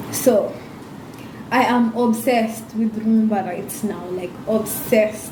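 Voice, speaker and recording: Against noticeable background noise and audible room echo, a woman with a fairly high voice speaks at a very slow pace. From Kenya. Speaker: YouTuber. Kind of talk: casual vlog monologue. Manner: animated.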